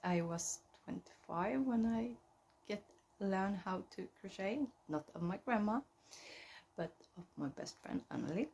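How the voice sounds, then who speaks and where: A woman with a Swedish accent speaks at a fairly slow pace and a medium pitch, somewhat breathy. Her intonation is lively, and she takes long, frequent pauses. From central Sweden. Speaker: knitting podcaster. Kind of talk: casual chat. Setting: at home. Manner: halting.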